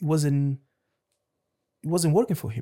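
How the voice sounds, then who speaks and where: A man with a Portuguese accent speaks at a fairly quick pace in a dark, mellow tone that is somewhat breathy. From Lisbon, Portugal (born in Angola). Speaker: head chef. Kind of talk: casual interview chat.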